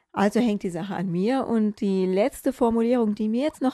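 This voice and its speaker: Recorded with a dry, close sound and no echo, a woman speaks at a moderate pace in a fairly high pitch, her tone dark and mellow, with ordinary pitch variation. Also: quiet background. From northern Germany. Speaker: podcast host. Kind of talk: casual podcast talk.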